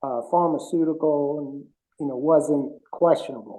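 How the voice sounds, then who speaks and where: A man speaks with an American accent. His voice is fairly high, with a dark, mellow tone. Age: 60s. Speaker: author and bodybuilding expert. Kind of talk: interview conversation. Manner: hesitant, many fillers.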